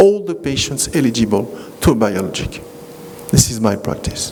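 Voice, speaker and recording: A man speaks with a French accent at a moderate pace. Noticeable background noise runs underneath. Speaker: rheumatologist. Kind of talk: lecture. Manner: halting.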